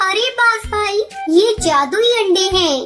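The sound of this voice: A female-sounding, cartoonish character voice sits at an extremely high pitch. Faint music plays in the background.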